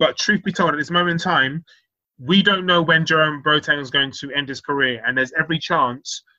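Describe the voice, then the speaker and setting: This man has a normal speaking voice, a fairly high pitch, ordinary pitch variation, and a fairly quick pace. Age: 30s. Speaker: football podcast host. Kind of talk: casual chat.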